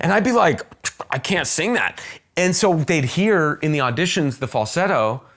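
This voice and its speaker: An American-accented man talks in a high pitch with an animated tone and very wide pitch swings. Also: moderate pace. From Arizona, US. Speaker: actor. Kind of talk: casual chat.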